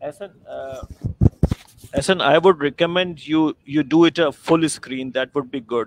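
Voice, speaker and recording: A man talks at a fairly slow pace in an ordinary speaking voice, with ordinary pitch variation. The sound is dry with no echo, over light background noise. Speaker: online class co-instructor. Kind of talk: online class discussion. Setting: video call. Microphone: video call.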